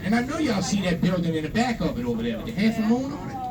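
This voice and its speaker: Noticeable background noise is present. Over it, a man speaks fairly quickly. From Louisiana. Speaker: swamp tour guide. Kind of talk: guided tour narration. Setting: outdoors on a tour boat. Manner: casual, folksy.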